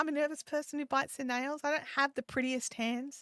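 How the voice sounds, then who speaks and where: With an Australian accent, a woman speaks at a high pitch in a bright, sharp tone. The sound is dry and close with no echo, on a very clean recording with a silent background. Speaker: live streaming and YouTube coach. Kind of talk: live stream Q&A chat. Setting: live stream. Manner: casual, halting with repetitions.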